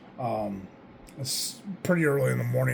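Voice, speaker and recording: A man speaks with very wide pitch swings. Audible room echo and noticeable background noise fill the recording. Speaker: Lego building YouTuber. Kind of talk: casual build commentary. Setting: at home, early morning.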